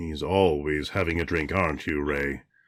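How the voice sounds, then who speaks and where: A man performs a put-on character voice with a raspy, very deep, low pitch. He speaks at a moderate pace with fairly even intonation. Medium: audio drama.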